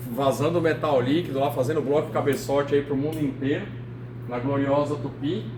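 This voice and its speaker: Audible room echo and noticeable background noise frame the recording. A man speaks at a fairly high pitch with fairly even intonation. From São Paulo city, Brazil. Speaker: engineer and AI lecturer. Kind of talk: lecture. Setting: meeting hall with audience. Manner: casual, with many fillers.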